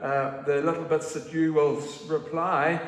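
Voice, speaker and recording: Audible room echo around a man's fairly slow pace. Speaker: minister leading a service. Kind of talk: service welcome and notices. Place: church. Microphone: camera far.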